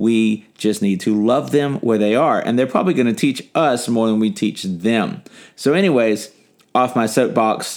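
A man's normal speaking voice at medium pitch, with an American accent, lively intonation, very even loudness and a moderate pace, on a very clean recording with a silent background. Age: 30s. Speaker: podcast host. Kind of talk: casual interview; podcast outro. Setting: home, in person.

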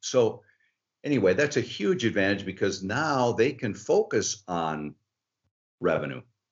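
At a moderate pace, a man with an American accent speaks in an unremarkable speaking voice of medium pitch. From Michigan, outside Detroit. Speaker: sponsorship strategist. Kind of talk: interview.

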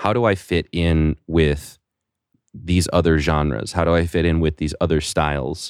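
This man has a very deep, low pitch and speaks at a fairly slow pace. The sound is dry and close with no echo, on a very clean recording with a silent background. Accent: American. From rural United States. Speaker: podcast host, musician. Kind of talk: casual interview chat.

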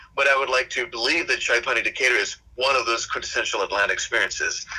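Noticeable background noise behind a man talking at a very fast pace. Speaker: restaurateur. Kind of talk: casual interview.

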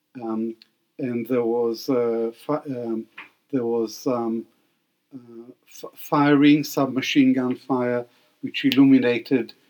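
Speaking at a very slow pace with long, frequent pauses, a man uses a medium-pitched, monotone, flat delivery while his loudness swings greatly. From Baghdad, Iraq. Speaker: historian and professor emeritus. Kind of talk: interview.

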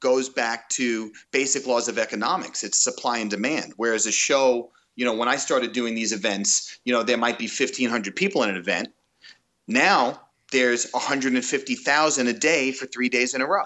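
A man's medium-pitched, plain, everyday voice at a moderate pace, with ordinary pitch variation. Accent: American. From Long Island, New York. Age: 40s. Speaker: lighting designer. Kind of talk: interview.

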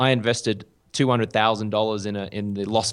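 With an Australian accent, a man talks at a fairly quick pace. His medium pitch follows fairly even intonation. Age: 30s. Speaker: journalist and TV presenter. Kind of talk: casual interview chat. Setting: video call.

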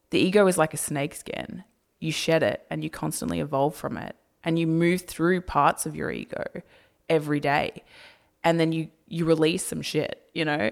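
In a very clean recording with a silent background, a woman talks in an Australian accent. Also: moderate pace. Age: 20s. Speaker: YouTuber. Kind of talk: casual chat.

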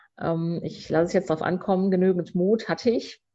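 Her tone dark and mellow, a woman speaks at a moderate pace with a fairly low pitch and fairly even intonation. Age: 50s. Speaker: founder of a cork bag label. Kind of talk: interview. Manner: hesitant with many fillers.

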